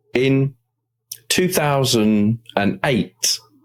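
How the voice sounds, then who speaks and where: The intonation is lively. The speaker has a British accent. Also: man. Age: 60s. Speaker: motivational speaker and podcaster. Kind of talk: interview. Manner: conversational.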